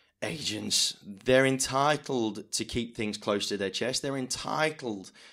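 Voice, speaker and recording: Here a man uses an ordinary speaking voice at medium pitch with ordinary pitch variation. The recording is very clean, with a silent background. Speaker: auctioneer. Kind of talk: interview answer.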